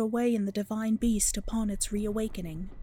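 Her voice is fairly high for a woman, somewhat breathy, with a dark, mellow tone. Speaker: narrator reading a story section. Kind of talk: scripted narration, read-aloud story.

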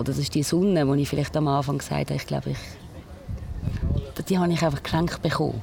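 Fairly quick speech from a woman with hardly any pauses, in a room with audible echo. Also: very even loudness. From Switzerland, Basel-Land (Pratteln). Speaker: radio presenter and nurse, runs a culture ship. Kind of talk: interview.

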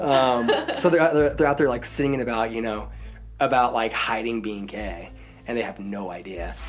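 Amid noticeable background noise and audible room echo, a man with an American accent speaks at a moderate pace and medium pitch with ordinary pitch variation. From southern Idaho. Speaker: professional climber and songwriter. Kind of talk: interview.

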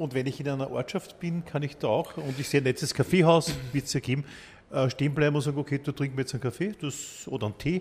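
Very fast and fairly high-pitched, a man talks with fairly even intonation. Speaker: podcast host. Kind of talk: interview.

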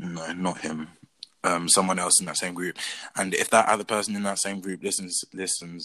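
A man with a British accent speaks at a moderate pace with a very deep, low pitch and a bright, sharp tone. The recording is very clean, with a silent background. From England. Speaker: podcast co-host. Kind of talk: casual chat.

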